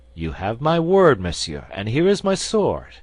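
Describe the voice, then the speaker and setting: Fairly high pitch and a moderate pace in a man's put-on character voice. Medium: read story.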